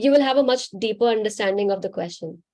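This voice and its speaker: In an Indian accent, a woman speaks with a fairly high pitch and a dark, mellow tone. Her intonation stays fairly even. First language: Hindi. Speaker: spiritual healer. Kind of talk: live Q&A session.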